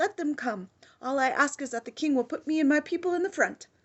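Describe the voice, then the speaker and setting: A woman puts on a character voice, high-pitched and shrill. She races along at a very fast pace. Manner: eager, loyal.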